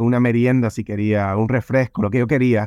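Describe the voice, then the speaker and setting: A man with a medium-pitched voice speaks at a fairly quick pace in a flat monotone, the sound dry and close with no echo against a quiet background. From Cuba, raised in San Francisco. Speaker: life coach and author. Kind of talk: podcast interview.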